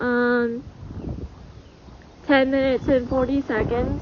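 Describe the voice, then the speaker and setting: Over noticeable background noise, a woman with a high voice speaks very slowly in a flat monotone. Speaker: amateur weather vlogger. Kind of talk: casual vlog commentary. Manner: halting, many fillers.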